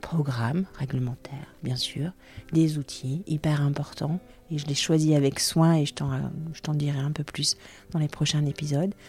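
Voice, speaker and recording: A woman's very deep, low voice comes across somewhat breathy, with a dark, mellow tone. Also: fairly even intonation, fairly slow pace. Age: 40s. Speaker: podcast host and radiation protection trainer. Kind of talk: solo podcast monologue. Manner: partly improvised, with hesitations.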